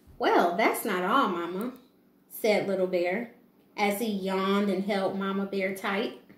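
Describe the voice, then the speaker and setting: There is audible room echo around this woman. She talks at a fairly slow pace. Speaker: preschool teacher. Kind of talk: children's picture book read-aloud. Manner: calm, gentle. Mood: calm, gentle. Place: home room. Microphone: camera far.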